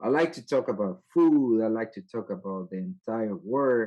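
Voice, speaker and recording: At a moderate pace, the speaker talks with a Spanish accent. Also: man. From El Salvador. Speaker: IT manager. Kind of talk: interview. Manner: halting.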